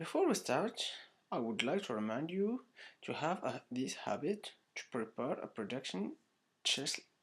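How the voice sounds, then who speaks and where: On a very clean recording with a silent background, a man with a non-native accent speaks at a moderate pace in a fairly high voice, his pitch swinging very widely, with long, frequent pauses. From Morocco. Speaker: online course student. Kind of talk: tutorial. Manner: halting.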